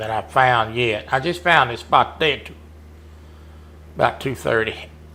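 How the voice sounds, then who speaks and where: A man with a Southern US accent talks at a moderate pace and medium pitch, with ordinary pitch variation. His tone is bright and sharp, and his loudness swings widely. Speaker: gamer competing in hunting game tournament. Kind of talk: live gameplay commentary chat.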